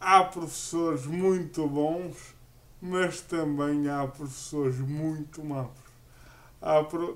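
At a very slow pace, a man talks with fairly even intonation and a fairly high pitch. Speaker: podcast co-host, wheelchair user. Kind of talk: casual chat.

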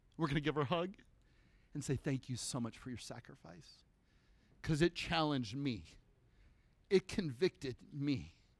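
An animated man with a fairly high pitch and vocal fry, talking at a moderate pace broken by long, frequent pauses. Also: lively intonation, big swings in loudness. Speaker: preacher. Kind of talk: sermon. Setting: church. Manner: conversational.

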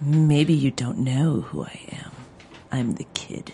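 A put-on character voice at a low-to-middle pitch. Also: fairly slow pace. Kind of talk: showy, Hollywood. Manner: boastful, dramatic.

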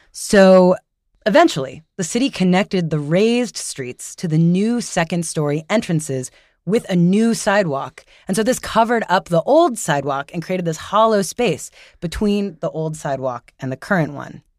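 A woman with an ordinary speaking voice, medium pitch, lively intonation and a moderate pace, on a very clean recording with a silent background and a dry, close sound with no echo. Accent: American. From New York. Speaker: radio producer. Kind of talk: storytelling narration.

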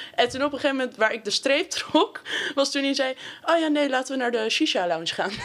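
A woman with a high-pitched voice speaks at a very fast pace. Noticeable background noise is present. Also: lively intonation. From Amsterdam, Netherlands. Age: 19. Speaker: sociology student. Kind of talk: casual chat.

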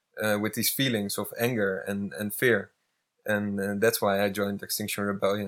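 A man with a Dutch accent, fairly low pitch and monotone, flat intonation. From Netherlands. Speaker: climate activist. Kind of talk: casual chat. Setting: eco village in Spain. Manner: hesitant, many fillers.

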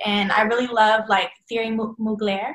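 Using a normal speaking voice, a woman with an American accent speaks at a fairly high pitch and a fairly slow pace. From Texas, Dallas. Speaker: fashion designer. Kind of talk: casual interview.

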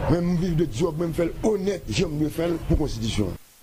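Noticeable background noise is present while someone talks very fast. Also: man. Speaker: human rights advocate. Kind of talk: news interview.

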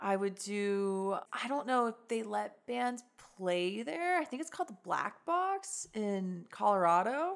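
A woman with an American accent speaks at a fairly slow pace with very wide pitch swings. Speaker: singer and guitarist in a rock band. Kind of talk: casual interview chat.

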